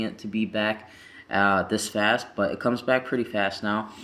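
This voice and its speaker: Fairly low in pitch with a bright, sharp tone, a man speaks at a moderate pace with fairly even intonation on a very clean recording with a silent background. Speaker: vlogger. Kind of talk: casual vlog update. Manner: casual, filler-heavy.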